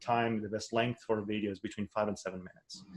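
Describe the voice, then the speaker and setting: A man is speaking. His pitch is medium. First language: not English. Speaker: online course instructor. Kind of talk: webinar presentation. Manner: halting, many fillers and restarts.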